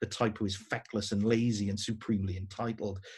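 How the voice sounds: Intonation is fairly even throughout this natural reading voice.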